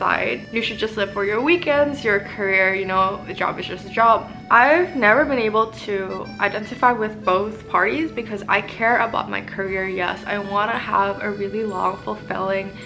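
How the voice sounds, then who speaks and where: A woman's voice with music in the background. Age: 20s. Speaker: engineer and writer. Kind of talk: casual talk to camera.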